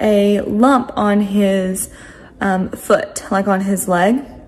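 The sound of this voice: A woman's slightly mellow tone amid audible room echo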